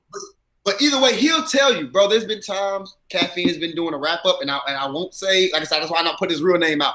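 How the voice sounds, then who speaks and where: A man's raised, projected voice with an American accent, high-pitched and energetic, with lively intonation at a very fast pace. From US South, South Carolina. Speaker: battle rapper. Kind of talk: casual chat. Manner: loud, energetic.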